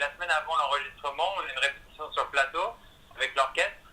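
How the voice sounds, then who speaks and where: A man talks over noticeable background noise. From France. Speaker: singer and musical theatre performer. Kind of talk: radio interview. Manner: hesitant, many fillers.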